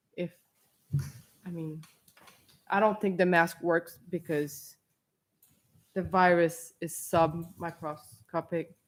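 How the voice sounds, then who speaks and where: Very slow and marked by long, frequent pauses, a woman with a non-native accent speaks in a monotone, flat intonation at a fairly low pitch. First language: not English. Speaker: parent speaking at public comment. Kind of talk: public comment at school board meeting.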